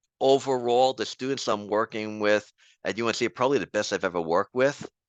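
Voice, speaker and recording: In a New York accent, a man speaks at a moderate pace and medium pitch with ordinary pitch variation, recorded with a dry, close sound, no echo and a quiet background. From New York City, the Bronx. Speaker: professor. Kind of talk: interview.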